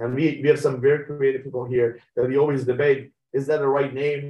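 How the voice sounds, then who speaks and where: Somewhat breathy, this man's voice sits at a fairly high pitch and keeps a monotone, flat intonation. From Iran (Tehran), moved to US at 16. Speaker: medtech company CEO. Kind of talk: interview. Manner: halting, many fillers.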